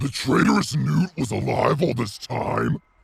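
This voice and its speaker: A man puts on a character voice. He growls. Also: medium pitch for a man, moderate pace. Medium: audio drama. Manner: arrogant, sneering.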